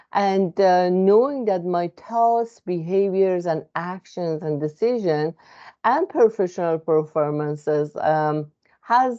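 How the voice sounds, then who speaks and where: With a non-native accent, a woman speaks very slowly at a fairly low pitch with ordinary pitch variation. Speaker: psychotherapist. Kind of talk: informal educational talk. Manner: hesitant with many fillers.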